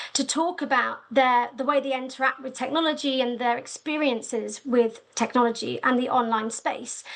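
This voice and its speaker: Set against a quiet background, a woman's high voice moves with fairly even intonation. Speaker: research manager presenting at a webinar. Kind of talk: webinar presentation. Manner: fast.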